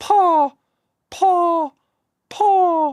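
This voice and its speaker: In a put-on character voice with an English accent, the speaker sounds squeaky at an extremely high pitch. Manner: flat, mock-simple, demonstrative.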